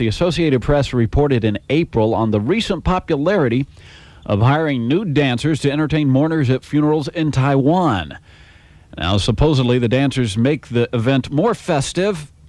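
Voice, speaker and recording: Medium pitch and lively intonation from a man at a moderate pace, a plain, everyday voice. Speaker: country radio disc jockey. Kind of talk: radio station aircheck, upbeat DJ patter.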